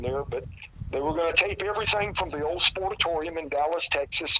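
A man with a Southern US accent talks at a fairly quick pace in a high pitch with ordinary variation, against noticeable background noise. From South Carolina. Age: 50s. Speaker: retired pro wrestler. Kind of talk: interview. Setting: phone call.

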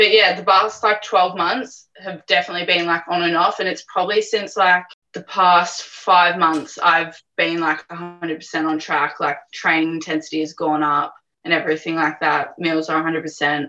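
In a normal speaking voice, the speaker keeps a moderate pace and fairly even intonation with hardly any pauses. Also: woman, fairly low pitch for a woman. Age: 20s. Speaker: amateur physique competitor. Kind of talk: casual interview. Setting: video call.

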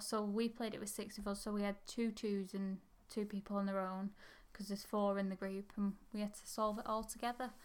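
Speaking in an English accent, a woman keeps a medium pitch and moderate pace with monotone, flat intonation. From England. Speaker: history podcast co-host. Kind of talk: casual chat.

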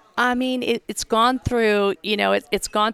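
A woman's ordinary speaking voice, with fairly even intonation at a moderate pace, in a dry, close sound with no echo. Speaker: ticket sales director. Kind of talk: casual chat.

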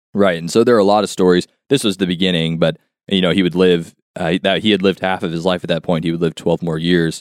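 In a dry, close recording with no echo, a man with a very deep, low voice speaks at a very fast pace with fairly even intonation. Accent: Californian. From US West Coast, near Los Angeles. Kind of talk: casual interview. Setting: studio.

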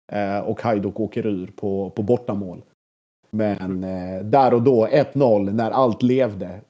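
A man's fairly low, dark and mellow voice at a very slow pace, with fairly even intonation. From southern Sweden, Blekinge (Sölvesborg). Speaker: football journalist and podcaster. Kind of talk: casual interview. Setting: apartment.

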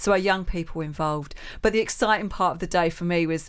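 On a very clean recording with a silent background, a woman with a Cockney accent talks at a medium pitch with ordinary pitch variation. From East London. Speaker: charity trustee and community organizer. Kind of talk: interview. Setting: studio.

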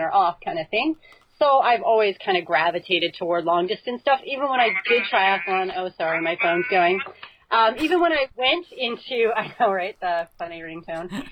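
This woman has an unremarkable speaking voice, talking at a moderate pace with lively intonation. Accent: Canadian. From Canada, northern Alberta. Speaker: ultra obstacle course racer. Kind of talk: casual interview.

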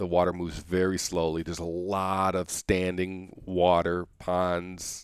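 A man with a very deep, low pitch speaks at a fairly slow pace with hardly any pauses. His intonation is monotone and flat, and the recording is very clean with a silent background. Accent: American. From Michigan. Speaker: salmon biologist. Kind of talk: casual interview. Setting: at home in Anchorage. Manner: halting, many repetitions and fillers.

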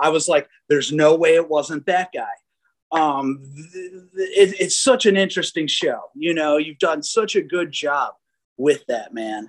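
With an American accent and a plain, everyday voice, a man speaks at a fairly slow pace in a fairly high pitch with lively intonation. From Chicago. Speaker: musician and restaurateur, podcast fan interviewing the host. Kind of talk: casual interview.

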